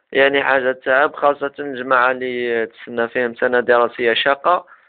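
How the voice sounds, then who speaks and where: A man is speaking at a medium pitch. His delivery stays monotone and flat. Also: moderate pace. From Algeria. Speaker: self-development web show host. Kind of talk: casual advice talk to camera.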